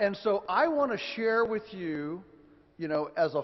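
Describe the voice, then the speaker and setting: Speaking with an American accent, the man uses a high pitch. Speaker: farmer and author, conference speaker. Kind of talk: lecture. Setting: stage with audience. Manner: deliberately slow; halting, many restarts.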